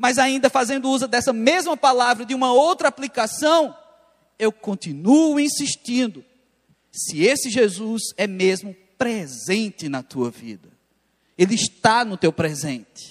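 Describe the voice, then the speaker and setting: A man speaks at an extremely high pitch with very wide pitch swings. His fairly slow delivery sounds dry and close, with no echo. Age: 30s. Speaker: pastor. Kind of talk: sermon. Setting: church.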